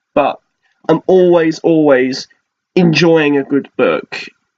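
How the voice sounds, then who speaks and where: The speaker has a British accent. The sound is dry and close, with no echo. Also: man. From Britain. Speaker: flight attendant and minimalism vlogger. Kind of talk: casual vlog monologue. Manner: casual with frequent fillers.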